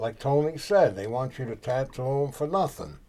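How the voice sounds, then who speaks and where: A man with a New York accent and a dark, mellow tone talks at a fairly slow pace. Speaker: tattoo artist. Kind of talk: casual chat.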